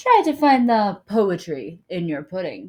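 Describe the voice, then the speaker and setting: This is a put-on character voice delivered at a fairly slow pace. The pitch makes very wide swings. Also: woman. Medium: read story. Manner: soft-spoken, gentle.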